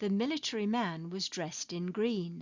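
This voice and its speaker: A woman with a British accent speaks at a medium pitch. Her intonation is lively. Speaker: ESL teacher. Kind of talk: English lesson narration. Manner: slow, clear.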